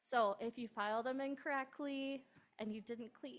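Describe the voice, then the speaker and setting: Her unremarkable speaking voice is fairly high for a woman, moving at a moderate pace with ordinary pitch variation. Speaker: accountant giving a tax talk. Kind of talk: presentation to an audience. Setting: pub venue with in-person and online audience.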